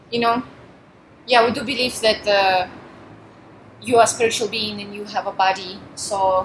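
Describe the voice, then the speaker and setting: Noticeable background noise, a woman's fairly high pitch, fairly even intonation, moderate pace and long, frequent pauses. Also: big swings in loudness. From Russia. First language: Russian. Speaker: volunteer minister. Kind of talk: interview. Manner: talkative.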